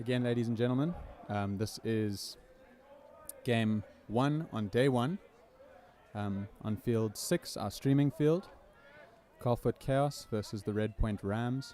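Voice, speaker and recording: A man speaks at a very slow pace with a medium pitch and ordinary pitch variation. His tone is dark and mellow, broken by long, frequent pauses. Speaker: sports commentator. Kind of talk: live commentary. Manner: stutter.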